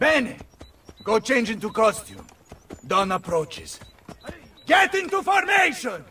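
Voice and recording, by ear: Using a put-on character voice, a man speaks slowly at an extremely high pitch, with very wide pitch swings, a bright, sharp tone and a husky, rough edge.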